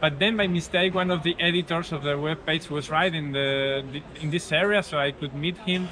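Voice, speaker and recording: Light background noise sits behind a man with a Spanish accent. He speaks at a moderate pace with fairly even intonation. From Spain. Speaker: cycling route designer. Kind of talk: interview. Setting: outdoors. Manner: halting, repeats words. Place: cafe.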